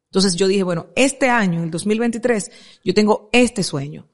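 At a moderate pace, the speaker uses a plain, everyday voice with ordinary pitch variation. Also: woman. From Dominican Republic, Santo Domingo Oeste. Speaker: media entrepreneur. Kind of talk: interview.

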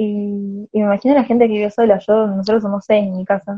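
A woman speaks at a moderate pace in a Rioplatense accent, sounding somewhat breathy. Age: 20s. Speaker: veterinary student. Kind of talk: casual chat.

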